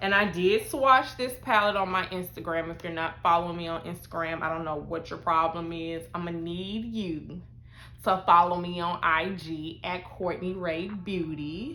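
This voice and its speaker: A woman speaks with a bright, sharp tone. Room echo is audible around her. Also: ordinary pitch variation, moderate pace, big swings in loudness. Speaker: beauty vlogger. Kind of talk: casual product review. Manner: loud; high energy.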